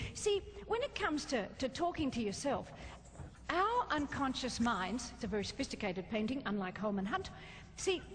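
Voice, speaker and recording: A woman with an Australian accent speaks at a moderate pace in a high voice with very wide pitch swings. Her loudness stays very even over noticeable background noise. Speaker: motivational speaker. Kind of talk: keynote talk to a live audience. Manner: lively, entertaining.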